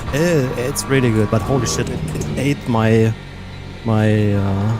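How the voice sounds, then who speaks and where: Over music in the background and with audible room echo, a man with a non-native accent talks with ordinary pitch variation. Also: medium pitch for a man, fairly slow pace. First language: not English. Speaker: sim racing streamer. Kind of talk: casual live stream chat. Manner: halting, repeats words.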